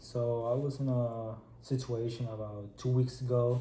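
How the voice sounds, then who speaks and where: A man with a Spanish accent speaks at a medium pitch in a flat monotone. Room echo can be heard. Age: 20s. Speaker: student. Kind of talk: role-play counseling session.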